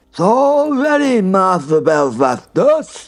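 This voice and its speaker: This man uses a croaky, put-on character voice pitched high. He talks fairly slowly, with very wide pitch swings. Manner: proud, eager.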